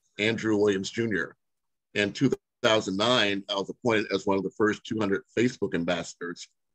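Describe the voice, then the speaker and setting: In a plain, everyday voice, a man talks at a fairly quick pace with fairly low pitch and fairly even intonation, the sound dry and close with no echo against a quiet background. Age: 60s. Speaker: webinar host. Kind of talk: webinar discussion.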